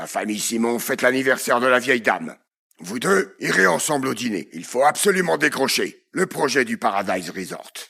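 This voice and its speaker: A man's put-on character voice, raspy and medium-pitched, with very wide pitch swings at a moderate pace. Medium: voice reel. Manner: authoritative.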